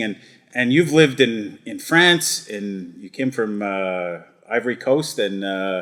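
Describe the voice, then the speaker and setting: Speaking at a fairly slow pace, a man uses lively intonation in a normal speaking voice. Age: 50s. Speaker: parish priest. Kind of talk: casual chat.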